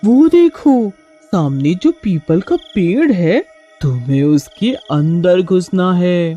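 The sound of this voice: A cartoonish character voice at middle pitch and a very slow pace, faint music in the background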